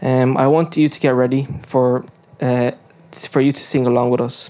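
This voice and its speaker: Flat, monotone intonation marks this clip. The voice belongs to a man. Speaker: youth service host. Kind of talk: church service welcome. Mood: warm, earnest. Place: hall. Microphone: handheld.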